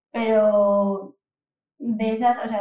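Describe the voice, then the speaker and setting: Her pitch sits fairly high. The woman keeps her intonation fairly even. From Asturias, Spain (Oviedo). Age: 20s. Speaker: data and AI professional. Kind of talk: casual interview.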